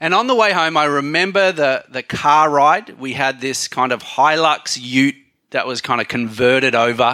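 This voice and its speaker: Using a bright, sharp tone, a man with a fairly high pitch speaks at a moderate pace with ordinary pitch variation. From Thailand. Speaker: pastor. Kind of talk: sermon.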